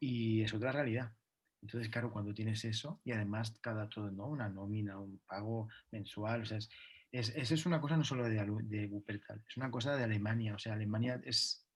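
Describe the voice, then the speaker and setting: Somewhat breathy and fairly quick, a man speaks at a medium pitch with fairly even intonation. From Catalonia, Spain. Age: 30s. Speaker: dancer. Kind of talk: interview. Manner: halting.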